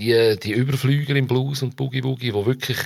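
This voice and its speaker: A man talks at a very fast pace with a Zurich accent. The recording is very clean, with a silent background. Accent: local Dietikon Swiss German. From Switzerland, Dietikon near Zurich. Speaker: journalist and musician. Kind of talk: casual interview.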